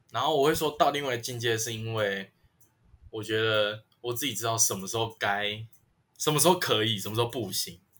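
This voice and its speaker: Talking at a fairly quick pace, a man has an unremarkable speaking voice at a medium pitch, with ordinary pitch variation. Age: 20s. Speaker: podcaster, college student. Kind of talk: casual chat.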